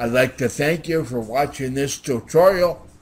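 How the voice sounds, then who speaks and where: Somewhat breathy and at a medium pitch, a man talks at a fairly slow pace with ordinary pitch variation. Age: 60s. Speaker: software tutorial maker. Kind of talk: tutorial. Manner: halting, repeats words.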